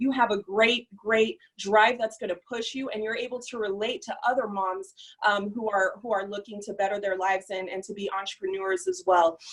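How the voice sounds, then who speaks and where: A woman talks in a plain, everyday voice at a moderate pace. Her pitch variation is ordinary. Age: young. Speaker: entrepreneur, former social worker. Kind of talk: testimony.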